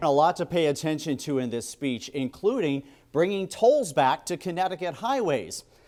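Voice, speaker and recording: This man has a plain, everyday voice, pitched fairly high. He speaks at a moderate pace with lively intonation. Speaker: TV news reporter and anchor. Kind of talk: TV news report.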